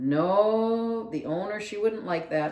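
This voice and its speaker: A put-on character voice, fairly high-pitched and mumbling, goes at a very slow pace with audible echo. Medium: read story. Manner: mumbling, shy.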